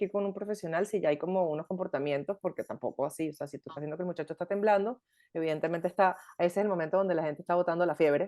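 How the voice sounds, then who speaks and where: Dry and close with no echo, the recording has a woman speaking at a very fast pace in a medium pitch. Her tone is dark and mellow, with ordinary pitch variation. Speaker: podcast host. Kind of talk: casual chat.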